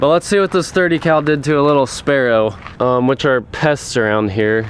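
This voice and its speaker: With lively intonation and very even loudness, a man talks at a moderate pace in an unremarkable speaking voice. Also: fairly high pitch for a man. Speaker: outdoor hunting video creator. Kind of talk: casual vlog narration. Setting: outdoors on a farm.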